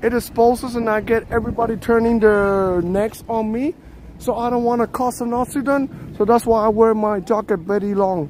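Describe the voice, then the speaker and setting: A man's high-pitched voice at a moderate pace, dry with no echo, over light background noise. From Puerto Rico. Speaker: live streamer. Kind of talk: live-stream walking vlog chat. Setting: outdoors. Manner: animated; talkative. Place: street. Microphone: phone near.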